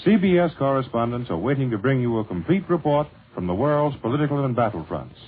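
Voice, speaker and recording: A man talks at a very fast pace, somewhat breathy. His medium-pitched voice swings very widely in pitch. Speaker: radio announcer. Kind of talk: radio commercial read.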